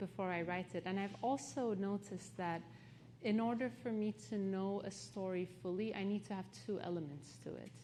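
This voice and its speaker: With a Turkish accent, a woman speaks at a moderate pace in a medium pitch, her tone dark and mellow, her intonation lively, with audible room echo around her. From Turkey, partly raised in London. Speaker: author. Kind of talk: onstage interview.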